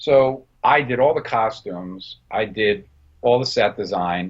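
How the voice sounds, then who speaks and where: A man speaks with a New Jersey accent and ordinary pitch variation. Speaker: film director and production designer. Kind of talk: interview.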